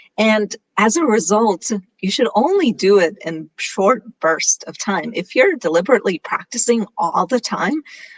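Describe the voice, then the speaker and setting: Fairly high-pitched and lively in intonation, a woman speaks at a moderate pace with a dry, close sound and no echo. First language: Gujarati. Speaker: conference speaker. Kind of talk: presentation talk.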